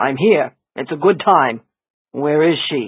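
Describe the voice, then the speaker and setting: A man's raspy, put-on character voice, fairly high in pitch and fairly slow in pace. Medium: read story. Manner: stubborn, insistent.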